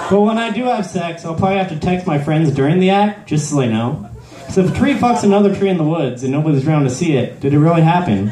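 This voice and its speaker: Over light background noise and audible room echo, a man talks at a very fast pace. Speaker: amateur stand-up comedian. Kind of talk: stand-up comedy set. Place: stage. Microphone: handheld.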